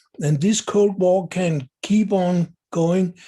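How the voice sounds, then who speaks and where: A man with a Danish accent speaks at a high pitch with fairly even intonation. His tone is dark and mellow. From Denmark. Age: 70s. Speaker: video blogger. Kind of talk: monologue commentary. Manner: halting with fillers.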